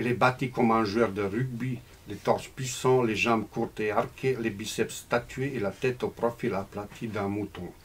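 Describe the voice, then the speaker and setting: Somewhat breathy, a man talks at a moderate pace. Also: medium pitch for a man, fairly even intonation. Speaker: novelist. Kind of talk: reading aloud; casual talk. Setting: bookshop with audience. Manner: halting.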